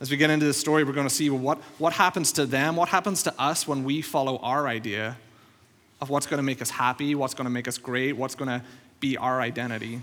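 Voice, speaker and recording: At a very fast pace, a man with a fairly high pitch speaks with fairly even intonation. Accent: Northern Irish. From Northern Ireland. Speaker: pastor. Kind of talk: sermon. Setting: church.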